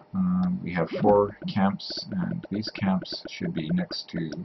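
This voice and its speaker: Here a soft-spoken man is talking. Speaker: gaming tutorial youtuber. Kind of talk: tutorial. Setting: home at night. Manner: hesitant.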